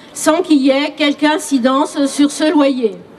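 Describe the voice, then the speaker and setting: A woman speaks at a fairly slow pace in a high voice with ordinary pitch variation, over noticeable background noise. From Paris region. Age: 60s. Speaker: retiree speaking at a rally. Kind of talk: testimony.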